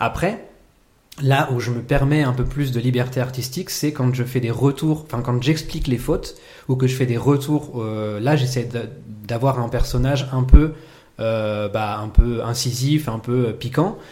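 A man talks at a fairly slow pace with a medium pitch and ordinary pitch variation. His tone is dark and mellow, and somewhat breathy. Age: 30s. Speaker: improv actor and teacher. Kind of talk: casual chat.

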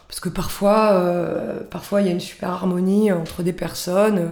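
Against noticeable background noise, a woman talks in a medium pitch with monotone, flat intonation. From Corsica, Balagne. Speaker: cultural association founder. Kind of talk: interview. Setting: radio studio. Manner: hesitant, many fillers.

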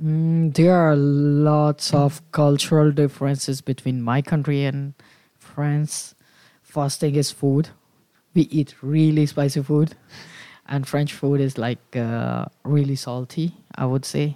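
The voice has a dark, mellow tone and monotone, flat intonation at a very slow pace. The sound is dry and close, with no echo. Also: man, fairly high pitch for a man. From India, New Delhi. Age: 20s. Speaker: student and activity animator. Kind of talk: radio interview. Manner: hesitant, with fillers.

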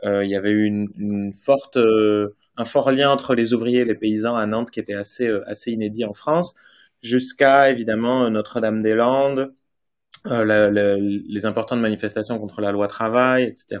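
Against a quiet background, a plain, everyday voice speaks at a moderate pace with fairly even intonation. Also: man, medium pitch for a man. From French Basque Country. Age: 30s. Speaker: journalist, author. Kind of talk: interview. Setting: remote video call.

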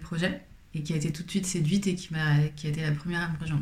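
Somewhat breathy and fairly low in pitch, a woman rushes along at a very fast pace in a monotone, flat intonation. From Paris, France. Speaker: fashion brand founder. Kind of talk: interview.

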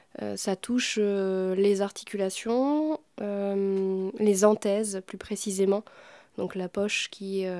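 Her dark, mellow tone and fairly even intonation come through in a dry, close sound with no echo, from a woman speaking. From Normandy, France. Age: 30s. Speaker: musician and podcast maker. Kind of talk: intimate conversation. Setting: home.

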